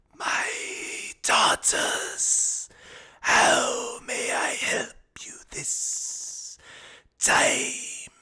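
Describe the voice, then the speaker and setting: A man whispers in a raspy, put-on character voice at a very slow pace. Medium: actual play. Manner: cold, commanding.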